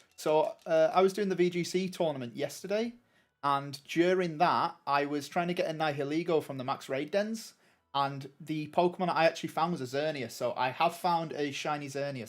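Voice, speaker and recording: A man speaks with a northern English accent. His pitch sits fairly high. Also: ordinary pitch variation, moderate pace. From northern England. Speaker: gaming streamer. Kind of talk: live gameplay commentary. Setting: live stream. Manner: casual, hesitant with many fillers.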